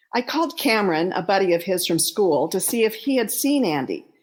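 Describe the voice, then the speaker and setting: On a very clean recording with a silent background, a woman speaks fairly quickly in an unremarkable speaking voice at a medium pitch. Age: 60s. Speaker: author and bereaved mother. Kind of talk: reading aloud.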